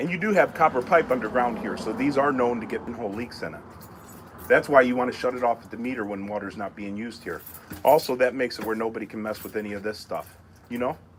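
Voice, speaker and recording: A man's medium-pitched voice at a very fast pace, with big swings in loudness and noticeable background noise. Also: ordinary pitch variation. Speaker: plumber. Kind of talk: on-site explanation to a customer.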